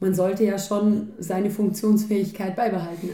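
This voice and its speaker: At a fairly slow pace, a woman speaks with monotone, flat intonation. Her voice is somewhat breathy, with a dark, mellow tone. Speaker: podcast co-host. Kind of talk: casual chat. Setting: home kitchen.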